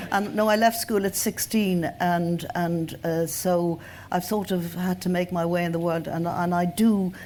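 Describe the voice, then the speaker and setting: With an Irish accent, a woman speaks fairly slowly at a fairly low pitch, her tone dark and mellow and her intonation fairly even. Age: 70s. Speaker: journalist and writer. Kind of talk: panel discussion. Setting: stage with audience.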